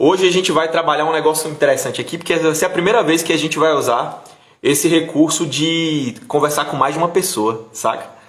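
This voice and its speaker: The speaker talks at a fairly quick pace with ordinary pitch variation. Audible room echo and noticeable background noise are present. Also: man, fairly high pitch for a man. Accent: northeastern Brazilian. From Brazil, Bahia (Bom Jesus da Lapa). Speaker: interview show host. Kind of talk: casual interview livestream.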